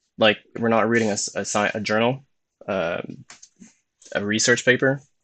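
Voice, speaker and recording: A man mumbling. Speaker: motivational YouTuber. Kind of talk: live stream monologue. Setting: live stream. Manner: fast when excited; mumbles words.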